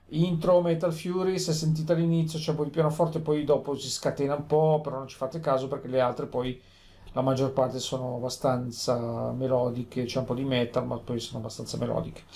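A man's medium-pitched, somewhat breathy voice with a dark, mellow tone, fairly even intonation and a fairly quick pace. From Italy, Genoa (Liguria). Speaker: lotto vlogger. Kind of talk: casual vlog monologue. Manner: rambling, repetitive.

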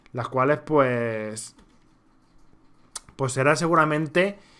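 Very slowly, a man speaks at a fairly high pitch. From Spain. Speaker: gaming youtuber. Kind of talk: gameplay commentary. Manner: quieter than usual, low volume; normally loud and energetic.

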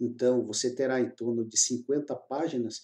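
The voice has a dark, mellow tone and a fairly slow pace against a quiet background. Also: man. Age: 50s. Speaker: court-appointed expert witness and course instructor; course creator presenting his course. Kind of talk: sales pitch. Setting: screen recording. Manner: informal, repeated tag questions.

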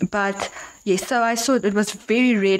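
Noticeable noise fills the background. Through it, a woman talks at a medium pitch. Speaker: podcast host. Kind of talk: interview answer.

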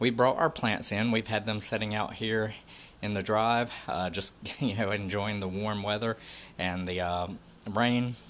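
A man talks in an ordinary speaking voice at a fairly low pitch. His pace is fairly slow, with ordinary pitch variation. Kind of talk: casual vlog chat. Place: garage. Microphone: phone near.

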